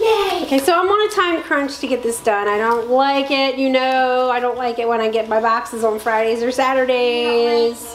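A woman speaks in a high pitch at a moderate pace, with very even loudness, ordinary pitch variation and hardly any pauses. Her voice carries audible room echo and light background noise. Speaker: home vlogger. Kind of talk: casual vlog chat. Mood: cheerful, laughing. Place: home room. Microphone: camera far.

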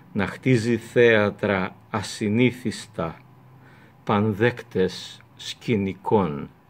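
A man speaks very slowly, with a fairly low pitch and fairly even intonation. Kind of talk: literary reading. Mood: calm, reflective. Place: home room. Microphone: webcam.

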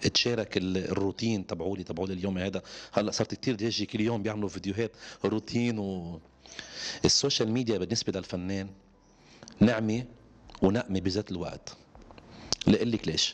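Long, frequent pauses break up the speech of a man whose fairly low pitch follows fairly even intonation. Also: moderate pace. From Lebanon. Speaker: singer; interviewee. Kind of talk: interview. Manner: halting. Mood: relaxed, smiling at times. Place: home room. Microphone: handheld.

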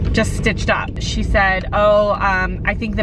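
Noticeable background noise sits behind a woman who speaks at a moderate pace in a dry sound with no echo. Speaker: vlogger. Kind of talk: casual vlog chat. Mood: irritated, ranting. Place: car. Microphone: phone near.

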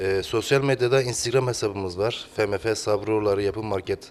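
The man's pitch is fairly low, and his pace is moderate. He keeps his intonation fairly even. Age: 30s. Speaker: construction and real estate business owner. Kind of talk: interview. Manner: halting, many fillers.

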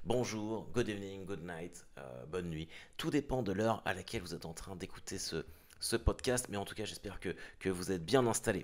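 A man with a normal speaking voice talks at a moderate pace with lively intonation. The background is quiet. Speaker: podcast host; former undertaker. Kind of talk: podcast introduction. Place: car.

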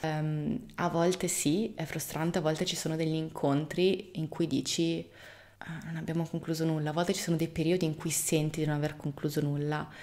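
Her voice is very deep and low for a woman, with a dark, mellow tone, a fairly quick pace and a monotone, flat intonation. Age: 30s. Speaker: video blogger. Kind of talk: casual monologue to camera. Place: home room.

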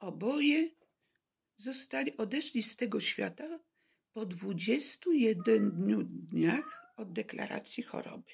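Her voice is fairly high, with vocal fry, very wide pitch swings and big swings in loudness. The woman speaks at a very slow pace over a quiet background. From Poland, Warsaw. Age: 70s. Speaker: vlogger telling personal story. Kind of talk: personal testimony monologue; personal testimony, casual monologue. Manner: halting. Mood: serious, aggrieved. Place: home room. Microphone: phone near.

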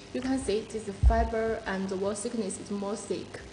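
Flat, monotone speech from a woman at a fairly slow pace, with noticeable background noise. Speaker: sales representative. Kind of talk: product presentation. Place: office. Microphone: phone near.

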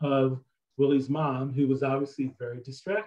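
A man with an American accent, fairly high pitch and a dark, mellow tone, speaking at a moderate pace over a quiet background. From US Midwest. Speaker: author. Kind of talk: talk to an audience. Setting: video call. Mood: relaxed, storytelling. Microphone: video call.

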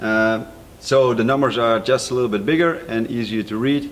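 Over light background noise, the voice moves at a moderate pace with ordinary pitch variation. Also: man. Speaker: product reviewer. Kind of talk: product review presentation. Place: studio.

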